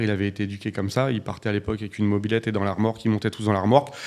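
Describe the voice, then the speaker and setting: A man with a fairly low pitch and monotone, flat intonation. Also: quiet background. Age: 40s. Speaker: real estate investor and entrepreneur; podcast guest. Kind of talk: casual interview. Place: studio. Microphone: studio mic.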